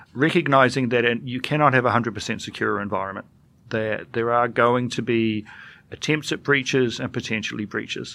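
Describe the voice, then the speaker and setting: Over a quiet background, a man with a New Zealand accent speaks at a medium pitch with a bright, sharp tone and fairly even intonation. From New Zealand, Dunedin (south). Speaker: government IT executive. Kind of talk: interview.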